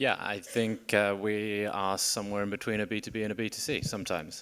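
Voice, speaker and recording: A man with a British accent speaks at a moderate pace and a fairly low pitch. Light background noise can be heard. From UK. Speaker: tech company growth executive. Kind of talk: panel discussion. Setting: stage with audience. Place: stage. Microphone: handheld.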